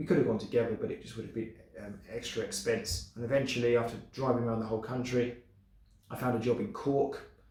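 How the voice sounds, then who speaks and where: A man in an English accent talks at a very fast pace with fairly even intonation and big swings in loudness, with noticeable background noise and audible room echo. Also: medium pitch for a man. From England. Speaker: vlogger. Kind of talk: casual vlog monologue. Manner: hesitant, many fillers.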